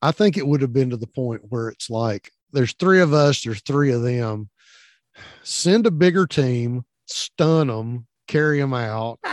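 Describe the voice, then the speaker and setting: A man with a Southern US accent, lively intonation and a fairly slow pace, in a dry, close sound with no echo. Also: medium pitch for a man. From US South. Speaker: podcast co-host, veteran. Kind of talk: casual chat.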